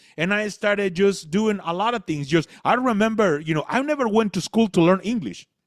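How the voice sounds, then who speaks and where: Speaking in a Spanish accent, a man with a high voice talks at a fairly quick pace with ordinary pitch variation and hardly any pauses. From Latin America. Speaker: motivational speaker. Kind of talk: motivational talk.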